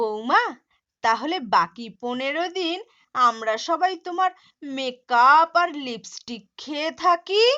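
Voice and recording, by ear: Using a cartoonish character voice, a woman speaks high in pitch and fairly slowly, her tone bright and sharp and her intonation lively.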